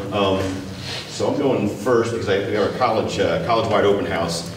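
Noticeable background noise and audible room echo surround a man with a fairly low pitch who speaks at a fairly quick pace. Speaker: presenter. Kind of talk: lecture. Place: hall.

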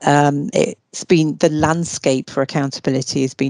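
Very deep, low pitch from a woman at a moderate pace, the sound dry with no echo against a quiet background. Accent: British. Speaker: law researcher. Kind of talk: lecture. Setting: video call. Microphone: video call.

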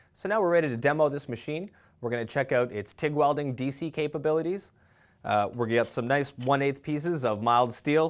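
A man speaks fairly quickly, his pitch moving in an ordinary way, with a quiet background behind him. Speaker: technical sales representative. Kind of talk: product demo tutorial. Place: workshop.

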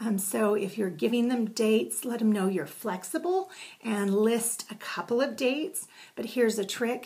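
The woman keeps to a moderate pace as she talks. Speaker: direct sales consultant. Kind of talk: tutorial. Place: home room. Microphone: webcam.

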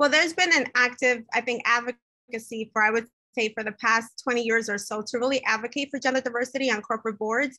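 Speaking very fast with hardly any pauses, a woman uses a high pitch and a bright, sharp tone. Her intonation stays fairly even against a quiet background. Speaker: professional association president. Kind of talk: interview. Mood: earnest, engaged. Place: home room. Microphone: video call.

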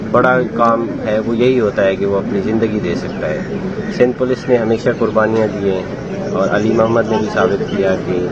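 Loud background noise surrounds a man speaking at a fairly slow pace with ordinary pitch variation. The sound is dry, with no echo. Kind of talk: press statement / interview answer. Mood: solemn, resolute. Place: open country.

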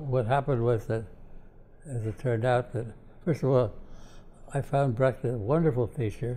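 A man with an American accent has a dark, mellow tone and sounds somewhat breathy. He talks at a fairly quick pace broken by long, frequent pauses. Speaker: political philosopher; professor emeritus interviewee. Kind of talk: interview. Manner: halting. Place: home room.

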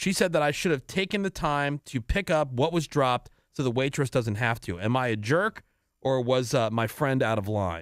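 A man with an unremarkable speaking voice talks at a medium pitch and a moderate pace, his intonation lively. The sound is dry with no echo, over a quiet background. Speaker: radio host. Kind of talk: casual chat. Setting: studio. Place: studio. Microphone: studio mic.

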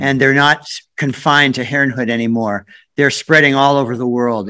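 A man's bright, sharp voice at a moderate pace. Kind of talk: prayer. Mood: earnest, warm. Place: home room. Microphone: video call.

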